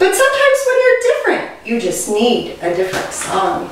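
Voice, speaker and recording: A woman puts on a character voice at a moderate pace. Clear background noise and strong echo surround her. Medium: read story. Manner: gentle, encouraging.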